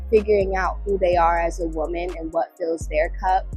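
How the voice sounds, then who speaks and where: A woman speaks over music playing in the background. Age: 20s. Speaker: yoga enthusiast and vlogger. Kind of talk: casual talk to camera. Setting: outdoors.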